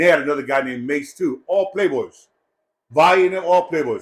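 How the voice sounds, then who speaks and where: Loud and animated, a man talks at a fairly quick pace in a high pitch with ordinary pitch variation. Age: 60s. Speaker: gang elder and vlogger. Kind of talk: casual monologue.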